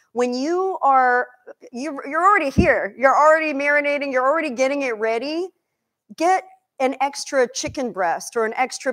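Speaking in a high voice with an animated tone and lively intonation, a woman is heard against a quiet background. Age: 50s. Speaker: chef and nutrition coach; nutrition coach. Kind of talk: cooking demonstration. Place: kitchen.

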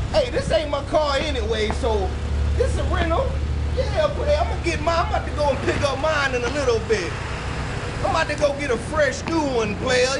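Over crowd noise in the background, a man speaks at a moderate pace. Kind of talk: comedic in-character banter to camera. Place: station. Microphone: camera far.

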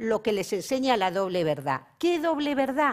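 A woman with a high pitch and lively intonation, fairly slow, against a quiet background. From Cantabria, Spain. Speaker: philosophy professor. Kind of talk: panel talk. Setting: conference stage with audience. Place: stage. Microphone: lapel.

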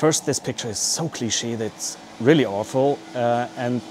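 A man delivers his words at a fairly slow pace with fairly even intonation. Light background noise sits behind him. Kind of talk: casual explainer vlog. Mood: dry humorous, cautionary. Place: workshop. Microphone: lapel.

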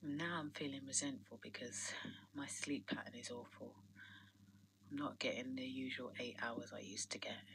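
Over noticeable background noise, a woman speaks at a very deep, low pitch. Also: ordinary pitch variation, moderate pace. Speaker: vlogger. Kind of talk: personal vlog diary. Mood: tired, reflective, resentful. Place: home room.

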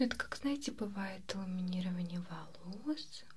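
A woman speaks softly at a fairly slow pace. Noticeable background noise sits behind her. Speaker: beautician role-play host. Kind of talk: soft-spoken role-play talk to viewer. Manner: soft, hushed ASMR voice. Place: home room.

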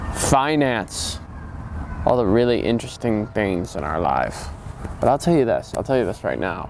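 The speaker moves at a moderate pace with very wide pitch swings. Light background noise sits under a dry sound with no echo. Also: man. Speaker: comedic character in mock interview. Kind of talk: interview answer. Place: garden. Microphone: lapel.

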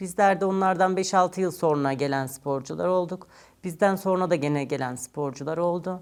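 Her pitch fairly low, a woman with an unremarkable speaking voice talks at a fairly slow pace with ordinary pitch variation. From Turkey, Ankara. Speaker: retired Olympic weightlifter. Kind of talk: interview. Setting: studio.

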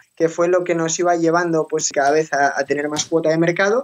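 A man at a fairly quick pace. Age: 20s. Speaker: financial and tax advisor. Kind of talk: interview.

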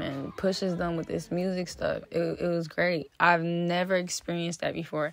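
With an American accent, a woman speaks at a moderate pace in a plain, everyday voice, her pitch fairly low. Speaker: rapper. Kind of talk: interview.

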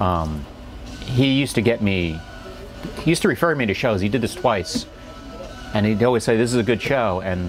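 Over clear music in the background, a man of medium pitch talks at a fairly quick pace with lively intonation, very even loudness, and long, frequent pauses. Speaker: stand-up comedian. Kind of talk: interview answer. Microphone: lapel.

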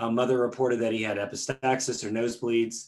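A man speaks at a fairly quick pace. No sound intrudes from the quiet background. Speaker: presenter. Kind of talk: lecture. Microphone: webcam.

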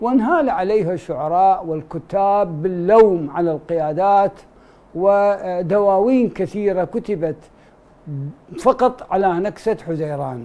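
Speaking at a very slow pace, a man uses a high pitch and a dark, mellow tone with ordinary pitch variation. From Iraq. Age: 60s. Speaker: political analyst, head of research center. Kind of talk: TV panel discussion. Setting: studio. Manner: formal. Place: studio. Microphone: lapel.

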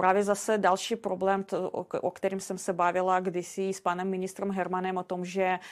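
With a non-native accent, a woman speaks at a moderate pace and medium pitch in monotone, flat intonation, with hardly any pauses, in a very clean recording with a silent background. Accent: foreign accent in Czech. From Belarus. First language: Russian (speaking Czech). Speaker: castle sales agent. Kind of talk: podcast interview. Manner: halting, with fillers and repetitions.

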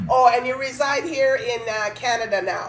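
A woman speaks with a high pitch at a moderate pace. Light background noise is audible. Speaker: talk show host. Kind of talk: casual interview. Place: home room.

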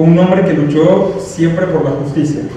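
Heard with strong room echo, a man talks fairly slowly at a fairly high pitch in a dark, mellow tone with ordinary pitch variation.

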